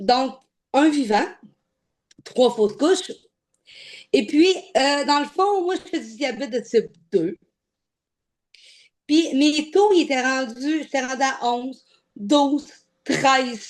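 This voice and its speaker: In a Quebec accent, a woman with a high pitch and lively intonation speaks very slowly, with long, frequent pauses. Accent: Québécois French. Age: 30s. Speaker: weight-loss program client. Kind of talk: interview. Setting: video interview. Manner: casual.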